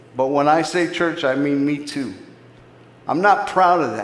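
A man's fairly slow speech with ordinary pitch variation, audible room echo, and noticeable background noise. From US Southwest, inner-city Phoenix, Arizona. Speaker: ministry leader and preacher. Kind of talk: sermon.

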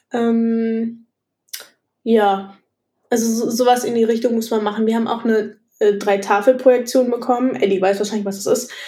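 Audible room echo surrounds a woman whose fairly high pitch and dark, mellow tone carry a monotone, flat delivery at a moderate pace with long, frequent pauses. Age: 20s. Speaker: architecture student. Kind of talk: casual interview.

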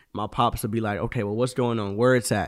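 A man with a plain, everyday voice speaks in a medium pitch with ordinary pitch variation, in a very clean recording with a silent background. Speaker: host's son. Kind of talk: casual chat.

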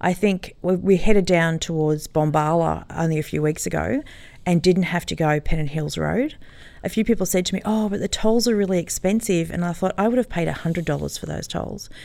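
A woman's dark, mellow tone, fairly low in pitch, with ordinary pitch variation and a fairly quick pace on a very clean recording with a silent background. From Sydney, Australia (Sutherland Shire). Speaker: kindergarten teacher and camel farmer. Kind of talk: casual interview.

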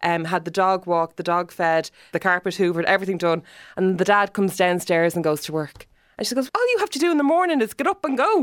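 Speaking at a very fast pace with an Irish accent, a woman at medium pitch is heard in a dry, close sound with no echo. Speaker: radio host. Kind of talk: casual interview chat. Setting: studio.

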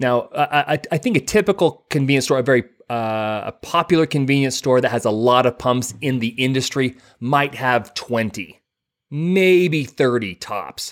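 An American man with a plain, everyday voice speaks at a fairly slow pace in a medium pitch. His pitch varies in an ordinary way, and the sound is dry and close with no echo. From southeast Idaho, US. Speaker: podcast co-host. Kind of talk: casual chat. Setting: video call.

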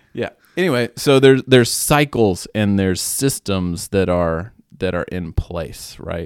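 A man with a normal speaking voice, fairly low pitch, lively intonation and fairly slow pace, on a very clean recording with a silent background. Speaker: podcast co-host. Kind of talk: casual banter, Q&A.

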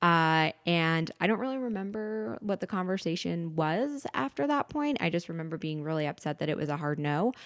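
A woman with an American accent and an unremarkable speaking voice, fairly low in pitch, with lively intonation, a moderate pace and hardly any pauses, in a dry, close sound with no echo over a quiet background. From New York, Westchester County. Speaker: media company employee, gastric surgery patient. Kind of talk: casual chat.

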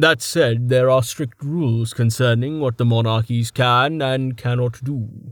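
What you hear is an unforced reading voice.

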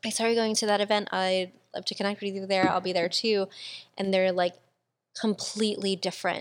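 At a fairly quick pace, a woman speaks in a flat, monotone way. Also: medium pitch for a woman, very clean recording, silent background. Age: 20s. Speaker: podcast host. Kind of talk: casual chat.

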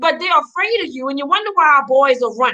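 A woman's raised, projected voice, bright and sharp in tone, with very wide pitch swings. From Louisiana, Donaldsonville. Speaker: community group member. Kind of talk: live talk show discussion. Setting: video call.

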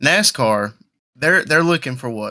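A man with a Southern US accent speaks at medium pitch and a moderate pace in a bright, sharp tone, captured in a very clean recording with a silent background. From South Carolina, Marion. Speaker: podcast co-host and race announcer. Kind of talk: casual chat. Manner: monotone; halting.

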